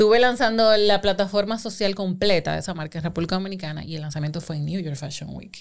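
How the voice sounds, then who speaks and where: The speech comes at a very fast pace with hardly any pauses. Its loudness swings widely. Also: woman, medium pitch for a woman, ordinary pitch variation. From Dominican Republic. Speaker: digital marketing and advertising professional. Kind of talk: casual chat.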